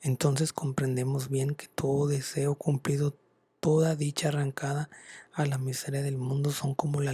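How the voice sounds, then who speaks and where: Recorded dry and close with no echo, a man speaks at a fairly high pitch and sounds somewhat breathy. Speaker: ASMR content creator. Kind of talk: whispered ASMR book reading. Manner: soft-spoken, whispering, slow.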